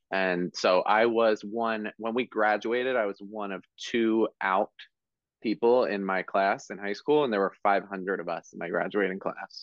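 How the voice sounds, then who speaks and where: Using an ordinary speaking voice, a man with an American accent talks at a fairly slow pace, fairly low in pitch, with fairly even intonation. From South Jersey, US. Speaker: hairstylist and educator. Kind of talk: casual interview.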